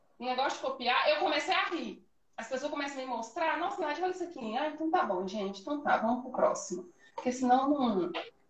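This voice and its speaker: At a fairly quick pace, a woman with a high voice swings very widely in pitch, with audible room echo and noticeable background noise. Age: 20s. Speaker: confectioner, small business owner. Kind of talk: casual interview chat. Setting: Instagram live video. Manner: animated.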